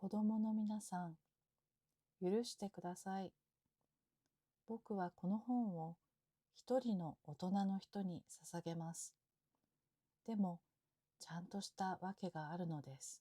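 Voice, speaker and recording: In a dry, close recording with no echo, a woman speaks very slowly with long, frequent pauses, her medium-pitched voice somewhat breathy, dark and mellow, calm in tone, with ordinary pitch variation. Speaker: Japanese teacher. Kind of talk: sleep story. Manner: calm, slow, natural.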